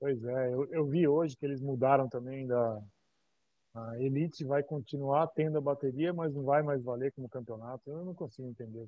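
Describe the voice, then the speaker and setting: A man speaks with a Brazilian accent in a fairly high pitch. His intonation stays fairly even. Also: moderate pace. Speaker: podcast host. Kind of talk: interview. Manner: casual.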